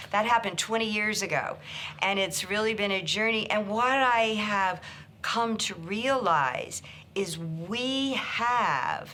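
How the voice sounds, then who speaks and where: Amid audible room echo, a woman with an American accent speaks at a fairly slow pace in a bright, sharp tone, with a medium pitch and ordinary pitch variation. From rural Kansas, US Midwest. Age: 60s. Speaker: psychotherapist and author. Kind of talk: personal story interview. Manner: hesitant, with fillers and restarts.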